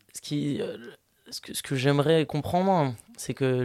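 A dark, mellow tone marks this man's voice, which has ordinary pitch variation. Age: 20s. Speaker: podcast host. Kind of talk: interview conversation.

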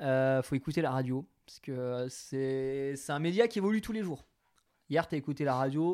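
The man's pitch is fairly high, with ordinary variation. He talks at a moderate pace, and his loudness swings widely. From Franche-Comté, France (Territoire de Belfort). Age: 20s. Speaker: radio host. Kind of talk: casual interview. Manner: smiling, upbeat.

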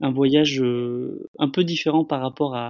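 A man talks with fairly even intonation. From France, Bordeaux. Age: 30s. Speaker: solo traveller. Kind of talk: testimony. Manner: halting, repeats words.

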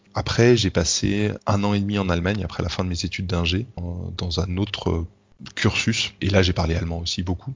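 A man's very deep, low, somewhat breathy voice, moderate in pace and fairly even in intonation. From France. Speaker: engineer living abroad. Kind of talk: interview. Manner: halting.

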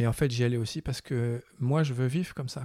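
A man talks at a moderate pace in a dark, mellow tone and a medium pitch. The sound is dry and close with no echo, on a very clean recording with a silent background. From France. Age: 50s. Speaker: filmmaker. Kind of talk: interview. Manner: hesitant.

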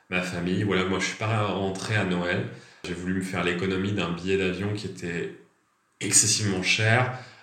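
A man speaks at a moderate pace in a very deep, low voice. His intonation is fairly even, and there is audible room echo. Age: 20s. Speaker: French language teacher. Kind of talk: casual interview.

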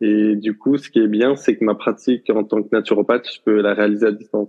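The man's pitch is fairly low, and his intonation is monotone and flat. He keeps a moderate pace. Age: 20s. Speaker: professional footballer and naturopath. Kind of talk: interview.

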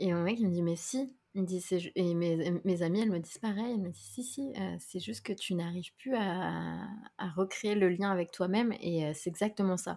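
A woman speaks at medium pitch and a moderate pace with ordinary pitch variation. It is an ordinary speaking voice in a very clean recording with a silent background. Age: 30s. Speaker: content creator and podcaster. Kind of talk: casual chat.

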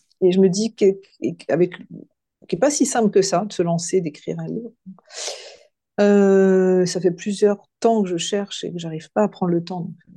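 A woman of medium pitch speaks at a fairly slow pace with fairly even intonation, her loudness swinging widely. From western France, near Nantes. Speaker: coach and hypnotherapist. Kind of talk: podcast interview. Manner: halting, many hesitations.

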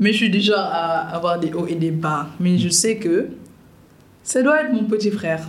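A woman's fairly low, somewhat breathy voice at a moderate pace, with ordinary pitch variation, very even loudness, long, frequent pauses and audible room echo. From Senegal, Dakar. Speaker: content creator and TV presenter. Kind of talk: podcast interview.

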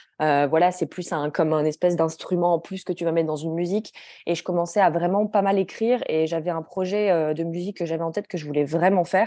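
Fairly low in pitch with a dark, mellow tone, a woman speaks at a fairly quick pace and with fairly even intonation. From France, Grenoble. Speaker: journal creator and publisher. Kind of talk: interview.

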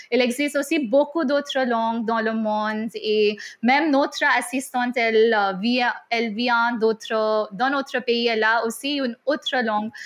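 Her pitch is high as this woman talks at a fairly slow pace. The intonation stays fairly even. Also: quiet background. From India. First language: not French; schooled in English (speaking French). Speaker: French teacher. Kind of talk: interview.

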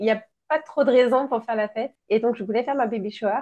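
Fairly high-pitched female speech, dark and mellow in tone. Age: 30s. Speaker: entrepreneur, founder of a baby shower decoration brand. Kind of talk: interview testimony.

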